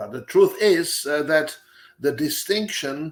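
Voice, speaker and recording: At a fairly slow pace, a man speaks in a fairly high voice. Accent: Czech. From Czech Republic. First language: Czech. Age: 70s. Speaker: professor. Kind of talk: lecture. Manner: halting, many filler sounds.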